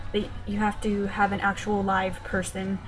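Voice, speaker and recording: A woman speaks at a medium pitch with an American accent. Music plays in the background. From Texas, USA. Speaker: linguistics student. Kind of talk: casual vlog talk to camera.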